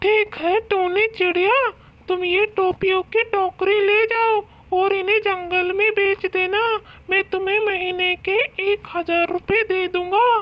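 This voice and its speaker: This cartoonish character voice sits at an extremely high pitch. It moves at a fairly slow pace. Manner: dismissive, harsh.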